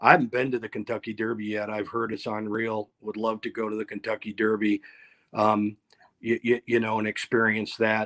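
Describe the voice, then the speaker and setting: A man with an American accent at a medium pitch, recorded dry and close with no echo on a very clean recording with a silent background. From upstate New York (Ithaca). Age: 60s. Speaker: company president, event business. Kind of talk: interview. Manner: halting, many repetitions.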